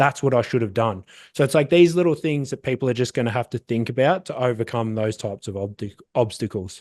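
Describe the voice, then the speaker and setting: A man with an Australian accent talks at a very fast pace in a medium pitch with ordinary pitch variation. His tone is animated, and the sound is dry and close with no echo. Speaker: SEO agency founder. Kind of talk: casual interview.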